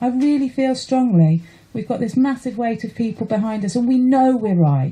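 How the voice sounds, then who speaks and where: A woman speaks in a passionate tone at a moderate pace, her dark, mellow voice carrying lively intonation. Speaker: allotment holder, campaigner. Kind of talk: radio interview. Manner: emotional, passionate.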